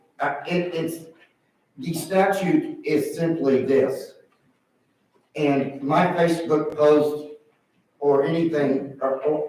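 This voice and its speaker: A man's fairly high, dark, mellow voice in an American accent, very slow with long, frequent pauses, fairly even intonation and audible room echo. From Indiana (Indianapolis). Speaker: political candidate. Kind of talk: public hearing testimony. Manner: halting, repetitive.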